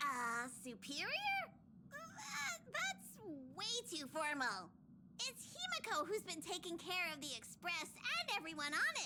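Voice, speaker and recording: A put-on character voice, squeaky and extremely high in pitch, moves at a fairly slow pace. Loud background noise fills the recording. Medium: video game.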